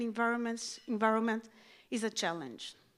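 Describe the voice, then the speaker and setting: A woman speaks with a non-native accent. Her fairly high pitch shows ordinary variation. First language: not English. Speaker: education and outreach specialist. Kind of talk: conference speech. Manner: formal.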